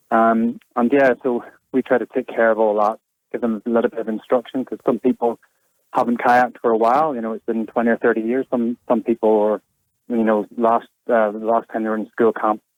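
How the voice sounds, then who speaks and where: At a fairly quick pace, a man speaks in a medium pitch with monotone, flat intonation. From Northern Ireland. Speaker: kayak and e-bike hire business owner. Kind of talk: radio interview. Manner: hesitant, many fillers.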